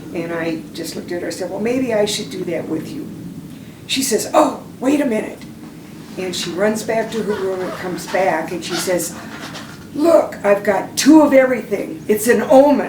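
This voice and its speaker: Amid noticeable background noise and audible room echo, a woman with an American accent talks at a medium pitch and moderate pace, her intonation lively and her loudness swinging widely. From Minnesota. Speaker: retired Army nurse, war veteran. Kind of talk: oral history testimony. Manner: halting, with many fillers.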